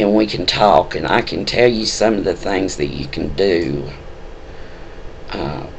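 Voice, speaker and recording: Noticeable background noise runs under a man who talks fairly slowly, with a fairly low voice and a Southern US accent. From US South. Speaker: spiritual video blogger. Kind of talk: personal testimony. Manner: halting, many fillers.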